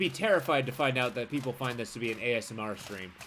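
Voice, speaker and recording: Words rush out very fast while noticeable background noise persists. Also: man. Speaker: game streamer. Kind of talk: gameplay commentary. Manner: shouting at times; casual, conversational.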